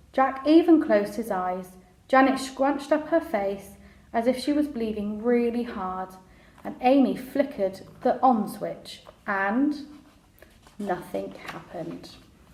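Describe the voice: Over audible room echo, a woman speaks slowly at a fairly high pitch, her slightly mellow tone carried by lively intonation.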